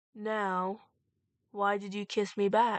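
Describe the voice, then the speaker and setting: A put-on character voice, female-sounding and at a medium pitch for a woman, is delivered in a monotone, flat intonation. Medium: read story. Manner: soft, gentle.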